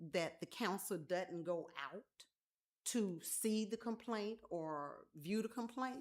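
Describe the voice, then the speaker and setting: Speaking in an Alabama accent, a woman talks at a very slow pace. Her pitch is medium, with ordinary variation. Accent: Southern US (Alabama). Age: 60s. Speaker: resident speaking at council meeting. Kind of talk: public comment at council meeting. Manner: halting.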